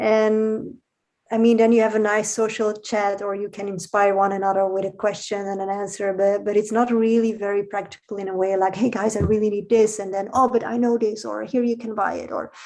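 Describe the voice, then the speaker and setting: Speaking at a fairly quick pace, a woman with a Dutch accent uses a medium pitch and monotone, flat intonation. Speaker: podcast guest. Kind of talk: casual conversation.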